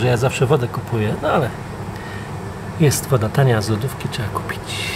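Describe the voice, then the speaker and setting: Fairly quick speech from a man, ordinary pitch variation, noticeable background noise. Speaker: travel vlogger. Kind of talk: casual vlog chat. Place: station. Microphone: phone near.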